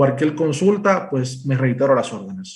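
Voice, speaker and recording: This man's somewhat breathy voice sits at a fairly high pitch, with audible room echo. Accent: Dominican. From Dominican Republic. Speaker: cybersecurity presales engineer. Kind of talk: technical presentation. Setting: remote presentation to live event. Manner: hesitant, many fillers.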